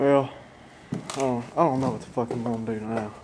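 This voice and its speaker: A man at a medium pitch and a fairly quick pace with fairly even intonation, against noticeable background noise. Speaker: car audio hobbyist vlogger. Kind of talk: casual video blog. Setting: late night at home, filming on camera.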